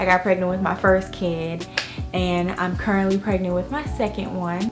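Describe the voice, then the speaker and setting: Over background music, a woman with an American accent speaks at a medium pitch with fairly even intonation. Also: moderate pace. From Florida. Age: 20s. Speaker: lifestyle vlogger, mother. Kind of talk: casual talk to camera. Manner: chatty, casual.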